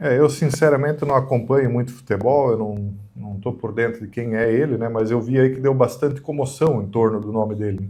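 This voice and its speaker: Somewhat breathy and dark, mellow in tone, a man at medium pitch speaks at a fairly quick pace with hardly any pauses. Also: fairly even intonation. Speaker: channel host. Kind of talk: casual opinion discussion.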